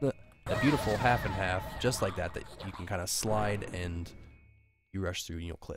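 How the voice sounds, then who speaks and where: Music plays in the background as a man with a fairly low pitch and ordinary pitch variation speaks at a moderate pace. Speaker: speedrunner. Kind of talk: video game tutorial narration. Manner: casual, hesitant.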